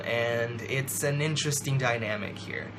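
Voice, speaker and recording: A man talks at a fairly slow pace with ordinary pitch variation. Audible room echo and noticeable background noise fill the recording. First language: not English. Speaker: book vlogger. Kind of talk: book review monologue. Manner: animated.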